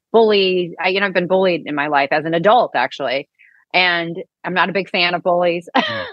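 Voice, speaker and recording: A woman with an American accent and a plain, everyday voice talks at a moderate pace and a fairly low pitch. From US Midwest, St. Louis. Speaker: author and speaker, cancer survivor. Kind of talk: interview.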